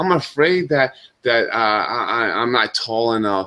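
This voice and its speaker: A man talks with a New York accent. His tone is bright and sharp. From US Northeast, Brooklyn New York. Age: 40s. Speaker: talk show host. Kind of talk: casual monologue. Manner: halting.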